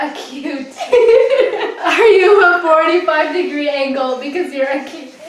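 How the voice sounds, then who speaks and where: The voice moves at a fairly slow pace with ordinary pitch variation. Room echo is audible. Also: woman, high pitch for a woman. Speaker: game player. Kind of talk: casual talk to camera. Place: home room.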